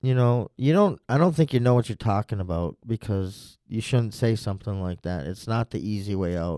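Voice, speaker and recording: Lively in intonation and dark, mellow in tone, a man's fairly low voice moves at a moderate pace with hardly any pauses, in a very clean recording with a silent background. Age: 40s. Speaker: interviewee sharing mental health story. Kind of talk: personal testimony interview. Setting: studio.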